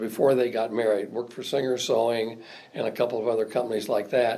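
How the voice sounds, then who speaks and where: A man with a Midwestern US accent is heard with audible room echo. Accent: US Midwest. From Indiana, South Bend. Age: 70s. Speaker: retired state legislator. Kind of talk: oral history interview. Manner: halting.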